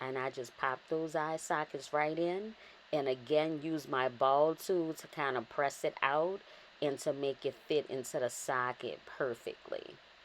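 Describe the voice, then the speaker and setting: A woman with a New Orleans accent and a very deep, low pitch speaks fairly slowly in an upbeat tone with ordinary pitch variation, on a very clean recording with a silent background. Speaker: cake decorator. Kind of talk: narrated craft tutorial. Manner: casual, upbeat.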